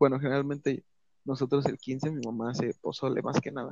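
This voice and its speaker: Pitched fairly high, a man speaks at a moderate pace. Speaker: podcast co-host. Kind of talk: casual chat.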